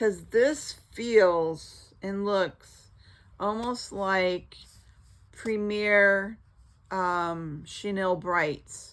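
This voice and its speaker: Her pace very slow, a woman speaks with ordinary pitch variation. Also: medium pitch for a woman. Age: 60s. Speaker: crochet vlogger. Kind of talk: casual chat. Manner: halting.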